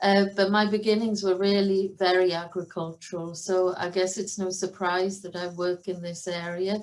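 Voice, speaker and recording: A woman in a Welsh accent, medium in pitch, moderate in pace, with monotone, flat intonation. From Wales, Cardigan, southwest coast. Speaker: professor of animal science. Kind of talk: online conference talk.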